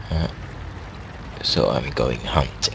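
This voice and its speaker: At a fairly slow pace, a man with a non-native accent speaks over noticeable background noise. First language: not English. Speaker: gaming commentator. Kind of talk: gameplay commentary. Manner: halting.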